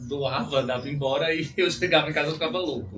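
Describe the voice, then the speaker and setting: With a northeastern Brazilian accent, a man speaks with ordinary pitch variation amid audible room echo and noticeable background noise. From Brazil, Rio Grande do Norte (Northeast). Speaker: dog breeder and hairdresser. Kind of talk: interview.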